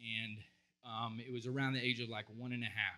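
With a bright, sharp tone, a man talks at a moderate pace in a monotone, flat way. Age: 40s. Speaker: psychologist and counselor. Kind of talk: conference talk. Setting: stage with audience. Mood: heartfelt, emotional storytelling. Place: stage. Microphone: handheld.

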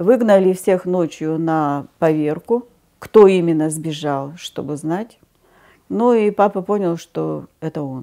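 A woman's fairly low voice at a very slow pace, with ordinary pitch variation, against a quiet background. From Siberia, Krasnoyarsk region, Russia. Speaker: witness telling family story. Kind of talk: testimony, personal memoir. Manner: conversational, reflective. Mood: calm, reflective storytelling. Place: studio.

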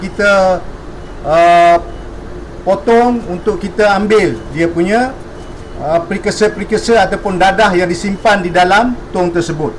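A high-pitched man at a fairly slow pace with fairly even intonation, audible room echo and noticeable background noise. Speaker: police officer. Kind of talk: press conference. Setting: press conference. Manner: formal.

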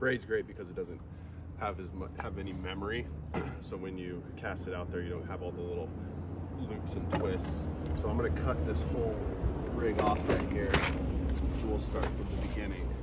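A man is speaking at a moderate pace. Loud noise runs in the background. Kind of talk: tutorial. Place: waterside. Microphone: camera far.

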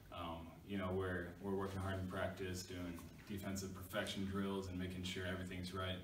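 Audible room echo surrounds a man talking at a fairly quick pace with a low pitch.

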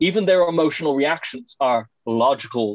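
Over a quiet background, a man talks with an Irish accent. His pace is moderate and his intonation lively. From Ireland, County Clare; Ireland. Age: 20s. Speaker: webinar panelist. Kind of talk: webinar talk. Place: home room. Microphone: video call.

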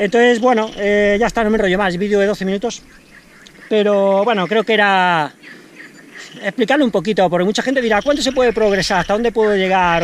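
Words come at a very fast pace in a dry recording with no echo and light background noise. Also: man. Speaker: trail runner vlogger. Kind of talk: casual vlog chat with training advice. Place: open country. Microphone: phone near.

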